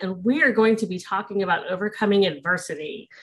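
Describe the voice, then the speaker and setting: Music plays in the background. The voice keeps a moderate pace with ordinary pitch variation. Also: woman. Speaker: podcast host. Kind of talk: podcast intro and interview questions. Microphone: studio mic.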